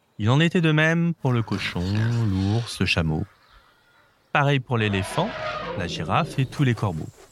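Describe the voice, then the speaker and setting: The speech moves at a fairly slow pace, with very wide pitch swings and long, frequent pauses. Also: man, medium pitch for a man. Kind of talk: bedtime story reading aloud for young children. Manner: animated, voicing each animal character with expressive changes; warm, gentle storytelling pace.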